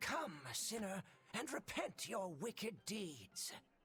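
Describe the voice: A put-on character voice at a middle pitch moves along at a fairly slow pace. Music plays in the background.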